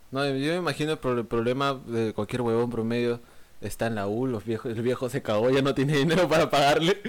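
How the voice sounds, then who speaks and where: A man talks at a fairly quick pace with a normal speaking voice. His pitch is medium, with ordinary variation. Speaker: podcast co-host. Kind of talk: casual chat.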